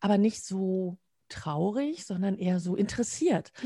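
A woman speaks with a dark, mellow tone at a medium pitch. Her voice is somewhat breathy, with ordinary pitch variation. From Münsterland, western Germany. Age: 50s. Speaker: communication trainer and coach. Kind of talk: interview conversation. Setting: video call. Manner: frequent laughter.

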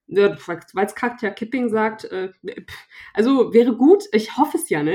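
A woman speaks fairly slowly in an unremarkable speaking voice. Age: 20s. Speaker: youth party politician. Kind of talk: interview.

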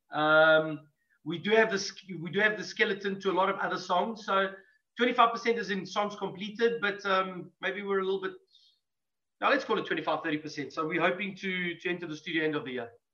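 A man's high-pitched, raised, projected voice with a bright, sharp tone. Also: ordinary pitch variation, moderate pace. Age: 40s. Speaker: metal band musician. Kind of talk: casual chat.

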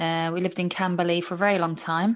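In a southern English accent, the voice moves very little in pitch. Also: woman.

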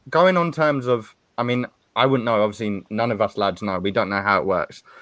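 A man with a southern English accent. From Stevenage, Hertfordshire, England. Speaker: football podcast host. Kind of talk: casual panel discussion.

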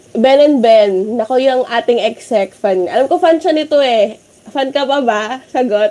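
Speaking at a fairly slow pace, a woman's voice sits high, with ordinary pitch variation. Noticeable background noise is present. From Philippines. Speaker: student radio host. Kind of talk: casual chat. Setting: remote call from home. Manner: energetic.

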